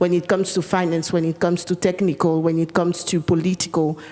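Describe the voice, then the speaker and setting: Over noticeable background noise, a woman with a French accent talks at a fairly low pitch. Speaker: panelist. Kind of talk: panel discussion. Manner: hesitant, many fillers.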